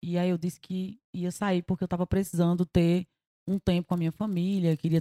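The sound is dry and close with no echo, carrying a dark, mellow tone. The speaker goes at a moderate pace with monotone, flat intonation. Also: woman. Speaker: singer. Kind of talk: casual chat.

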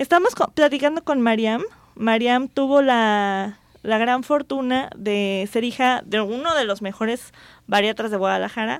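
At a fairly slow pace, a woman speaks in a plain, everyday voice with a fairly high pitch and ordinary pitch variation, on a very clean recording with a silent background. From Jalisco, Mexico. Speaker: radio host and physician. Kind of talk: radio talk show.

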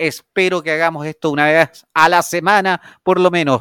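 On a very clean recording with a silent background, a man's high voice has a bright, sharp tone and fairly even intonation. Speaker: podcast co-host. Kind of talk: casual chat.

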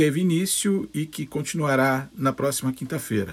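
At a moderate pace, a man speaks. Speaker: lawyer. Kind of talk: interview, legal analysis.

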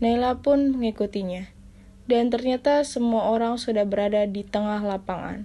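This is plain reading aloud. Nothing more is done with the delivery.

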